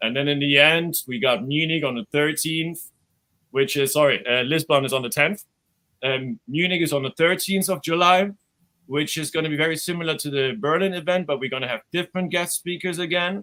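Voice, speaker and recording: Bright and sharp, this man's voice sits fairly high with ordinary pitch variation. He speaks at a fairly quick pace with a German accent. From Germany. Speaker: crypto event organizer and channel host. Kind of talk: casual promo talk.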